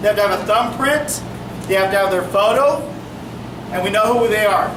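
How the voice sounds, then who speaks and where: A man speaks with lively intonation, with audible room echo and noticeable background noise. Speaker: police officer. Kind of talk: community meeting talk.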